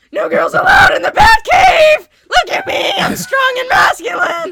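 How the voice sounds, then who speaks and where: A man shouts in a put-on character voice at an extremely high pitch, keeping a moderate pace. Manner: mocking, exaggerated machismo.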